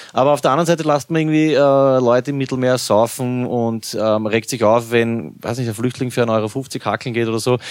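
An ordinary speaking voice from a man at a medium pitch, fairly quick and with fairly even intonation, on a very clean recording with a silent background. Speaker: podcast host. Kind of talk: casual chat.

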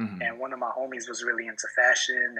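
A man with a New York accent at a moderate pace. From New York City, Washington Heights, Guatemalan family. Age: 30s. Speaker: hip hop artist. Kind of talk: casual interview. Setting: video call.

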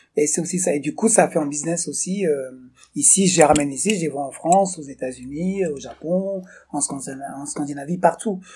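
His voice is high-pitched. This man's pitch moves in an ordinary way. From Togo. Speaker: fashion entrepreneur. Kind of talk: casual interview. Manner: halting.

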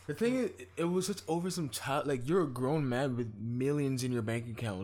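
The man's voice sits at a medium pitch with ordinary variation, moving at a fairly quick pace. Room echo can be heard. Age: 20s. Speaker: podcast co-host. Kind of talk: casual chat.

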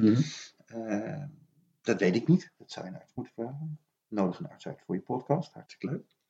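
A man's somewhat breathy voice, dark and mellow in tone, with lively intonation. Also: medium pitch for a man, moderate pace, big swings in loudness. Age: 50s. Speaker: children's book author. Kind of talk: casual chat.

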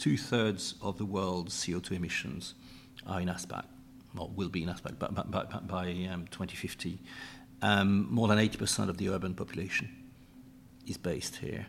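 A man's very deep, low voice at a moderate pace, with fairly even intonation and long, frequent pauses. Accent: European. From Europe. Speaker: energy company executive. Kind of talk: panel discussion. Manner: halting, many repetitions and fillers.

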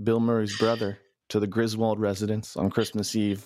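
In a very clean recording with a silent background, a man with a plain, everyday voice talks at a moderate pace and a medium pitch. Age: 30s. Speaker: podcast host and newspaper editor. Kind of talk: casual chat; interview.

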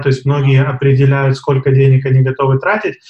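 A man speaks at a moderate pace in a fairly high pitch. His voice is somewhat breathy. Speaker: podcast co-host. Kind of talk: podcast discussion.

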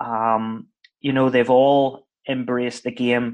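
In a Northern Irish accent, a man talks at a medium pitch against a quiet background. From Northern Ireland. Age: 30s. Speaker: football head coach. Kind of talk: casual interview chat. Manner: chatty, hesitant with repeated words.

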